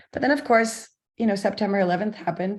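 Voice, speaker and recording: A somewhat breathy woman speaks at a fairly quick pace with a North American accent and medium pitch. The background is quiet. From US Midwest, Missouri. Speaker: historian. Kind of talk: lecture. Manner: halting, many fillers and repeats.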